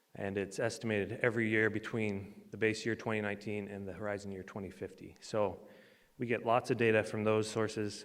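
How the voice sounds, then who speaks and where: Speaking fairly quickly in a monotone, flat delivery, a man with a fairly low pitch is heard with audible room echo. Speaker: transportation engineer, conference presenter. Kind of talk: conference presentation.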